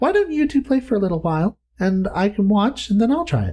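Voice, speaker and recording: Someone in a put-on character voice rattles along at a very fast pace. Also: man, high pitch for a man. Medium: read story. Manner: soft, careful.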